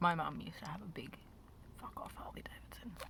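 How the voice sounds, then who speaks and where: A woman talks, and noticeable noise is audible in the background. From Australia. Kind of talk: ASMR chit chat while eating candy. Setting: parked car near a road. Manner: casual, rambling.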